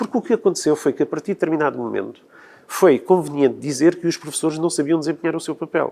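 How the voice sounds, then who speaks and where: Very fast speech from a man with a fairly high voice. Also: ordinary pitch variation. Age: 60s. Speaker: teacher. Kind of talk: televised debate.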